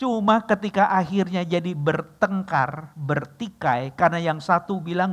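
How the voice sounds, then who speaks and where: A man speaks with ordinary pitch variation. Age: 60s. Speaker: pastor. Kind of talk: sermon. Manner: casual, joking asides.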